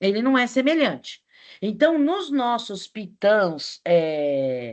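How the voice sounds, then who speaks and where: Over a quiet background, a woman's fairly high voice moves through very wide pitch swings. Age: 60s. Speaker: teacher. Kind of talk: online class lecture.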